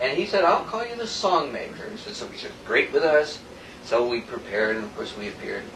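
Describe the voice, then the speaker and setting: With noticeable background noise and audible room echo, a man talks at a fairly quick pace. His high voice shows very wide pitch swings and big swings in loudness. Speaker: gospel singer. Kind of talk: casual chat.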